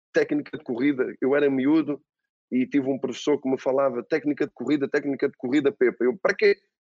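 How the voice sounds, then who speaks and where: This man's voice sits at a fairly high pitch. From Portugal. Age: 40s. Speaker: football coach. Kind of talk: interview. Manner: halting, repeats words.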